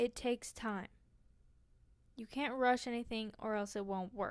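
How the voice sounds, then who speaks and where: The speaker is soft-spoken, going at a fairly slow pace with long, frequent pauses. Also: woman. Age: 20s. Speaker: podcast host. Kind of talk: casual monologue.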